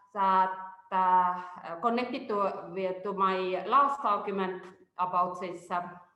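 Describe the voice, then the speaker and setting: There is audible room echo as a woman with a medium-pitched, bright, sharp voice and ordinary pitch variation speaks at a very slow pace. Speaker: researcher. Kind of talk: webinar presentation. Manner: halting, many fillers.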